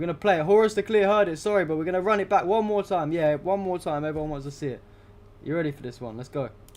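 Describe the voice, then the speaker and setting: A high-pitched man with a British accent, speaking at a very fast pace with big swings in loudness. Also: ordinary pitch variation. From UK. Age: 20s. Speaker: political livestreamer. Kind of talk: casual livestream chat. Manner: casual, filler-heavy.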